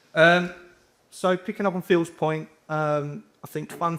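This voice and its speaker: The speaker is a man with a London accent. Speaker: housing repairs manager. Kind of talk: conference presentation.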